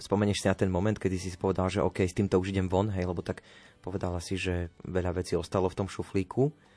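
At a very fast pace, a man with a very deep, low pitch and a dark, mellow tone speaks in a monotone, flat intonation. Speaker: radio host. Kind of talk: casual radio chat. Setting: radio studio.

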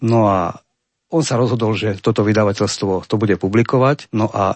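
With an unremarkable speaking voice, a man talks at a fairly quick pace, medium pitch and ordinary pitch variation. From central Slovakia, Banská Bystrica. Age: 50s. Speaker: poet. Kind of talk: interview.

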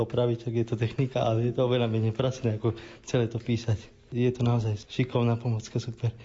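A man talks at a very fast pace with a medium pitch. His voice is somewhat breathy. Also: very even loudness. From Slovakia, Rimavská Sobota. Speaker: doctoral student, wheelchair user. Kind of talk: interview.

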